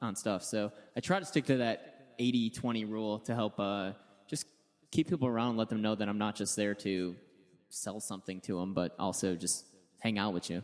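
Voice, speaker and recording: A man with a fairly low pitch, moderate pace, ordinary pitch variation and a normal speaking voice. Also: very clean recording, silent background. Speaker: radio personality. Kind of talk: casual panel talk. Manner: joking, light-hearted.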